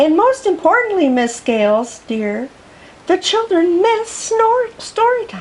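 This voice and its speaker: Putting on a squeaky character voice, a woman speaks at a fairly slow pace in an extremely high pitch with very wide pitch swings. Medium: read story. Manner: soft, sweet.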